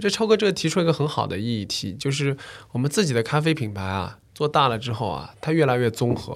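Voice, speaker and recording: A man talks at a fairly quick pace in a fairly high voice with very wide pitch swings. The recording is very clean, with a silent background. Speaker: coffee business owner. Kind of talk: casual chat.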